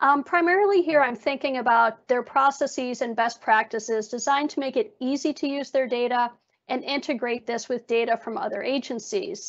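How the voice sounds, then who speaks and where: A woman speaks at a high pitch with ordinary variation, at a fairly quick pace with hardly any pauses. The background is quiet. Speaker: data researcher at a government agency; presenter. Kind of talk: slide presentation. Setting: video call. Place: home room. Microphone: earbuds.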